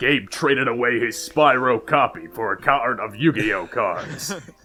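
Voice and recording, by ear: Putting on a character voice, a man speaks at a moderate pace in a medium pitch.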